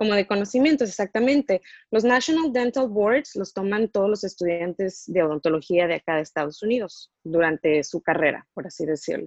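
A woman's medium-pitched voice with very wide pitch swings, a fairly quick pace and hardly any pauses, in a dry, close sound with no echo. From Mexico. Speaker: dentist. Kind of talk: interview.

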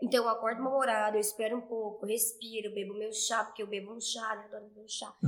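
Over noticeable background noise, a woman talks at a very fast pace with hardly any pauses, a fairly high pitch and big swings in loudness. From Brazil, interior of Goiás. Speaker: fitness trainer, dance fitness program creator. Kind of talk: casual interview. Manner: animated.

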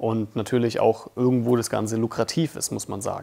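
A man with an ordinary speaking voice talks at a fairly quick pace. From Germany, Bamberg (Franconia), Russian-German resettler family. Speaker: filmmaker, YouTuber. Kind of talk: casual vlog monologue. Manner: casual, many fillers.

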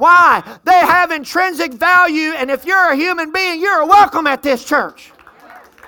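A woman talks at an extremely high pitch in a raised, projected voice, at a moderate pace. Her tone is animated, her loudness swings a lot, and her pitch varies an ordinary amount. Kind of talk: sermon. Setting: church with congregation. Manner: animated, call-and-response, exhorting the congregation; loud, fervent, punctuated by praise shouts.

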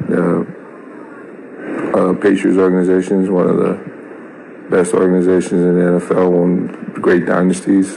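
Noticeable background noise sits under this clip. A man speaks at a very deep, low pitch in a monotone, flat intonation. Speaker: father of NFL rookie. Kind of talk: recorded voice clip opinion.

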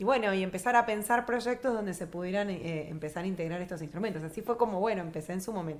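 Speaking at a very fast pace with hardly any pauses, the woman keeps a medium pitch and ordinary pitch variation. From Argentina, Río Gallegos (Santa Cruz). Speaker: choir director. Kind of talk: interview.

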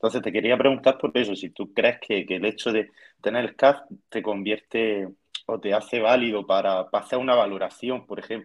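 Here is a man with a normal speaking voice at a medium pitch. He talks at a fairly quick pace with fairly even intonation. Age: 20s. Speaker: dietitian and fitness student. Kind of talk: casual chat.

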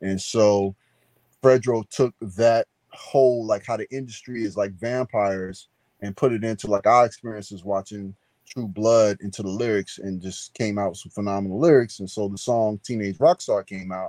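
A dark, mellow tone in a dry, close sound with no echo. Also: man, fairly low pitch for a man, fairly even intonation, moderate pace, big swings in loudness. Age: 50s. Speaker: novelist. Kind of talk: interview.

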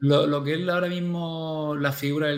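Speaking at a fairly slow pace, this is a normal speaking voice with fairly even intonation. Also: man. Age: 30s. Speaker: primary school teacher. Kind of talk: casual interview chat.

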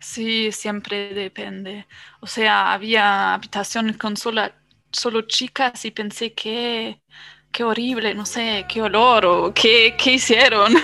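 The voice has a bright, sharp tone and a monotone, flat intonation at a very slow pace. The recording is very clean, with a silent background. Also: woman, fairly high pitch for a woman. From Germany. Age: 20s. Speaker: podcast guest, traveler. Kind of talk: casual chat. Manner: halting.

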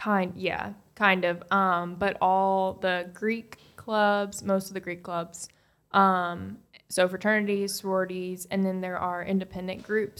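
Speaking at a fairly slow pace, a woman keeps a medium pitch and flat, monotone intonation. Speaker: podcast co-host, accountant. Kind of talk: casual chat.

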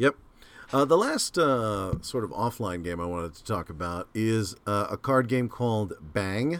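A man with an ordinary speaking voice talks at a fairly slow pace and fairly low pitch, with lively intonation and big swings in loudness. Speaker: podcast host. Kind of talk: casual chat, gaming podcast.

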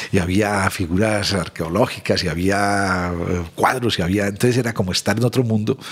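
This man's fairly low voice keeps fairly even intonation. His loudness stays very even at a moderate pace. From Colombia, Medellín. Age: 60s. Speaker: social consultant. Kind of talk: interview conversation.

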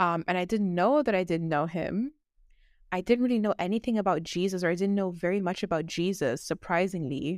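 A woman with a plain, everyday voice at medium pitch, ordinary pitch variation and a fairly quick pace, on a very clean recording with a silent background. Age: 20s. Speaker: ex-new ager turned evangelist. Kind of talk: testimony.

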